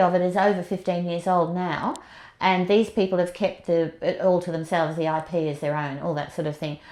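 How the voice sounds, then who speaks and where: A woman with an Australian accent talks at a fairly quick pace in a fairly low pitch against a quiet background. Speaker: movement and yoga teacher. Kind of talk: interview. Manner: fast; animated.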